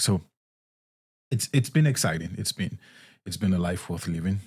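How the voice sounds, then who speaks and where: Very clean and silent in the background, the recording has a man with an American accent speaking at a moderate pace in a very deep, low pitch. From Nigeria. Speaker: podcast host, singer-songwriter. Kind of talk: faith teaching monologue. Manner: halting, many fillers and repetitions.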